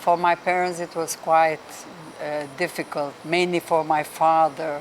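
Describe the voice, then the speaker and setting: A woman speaks fairly slowly in a fairly low voice. Her intonation is monotone and flat. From Brazil, Rio de Janeiro. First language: Hungarian. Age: 70s. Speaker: traveler interviewee. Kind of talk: interview. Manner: halting.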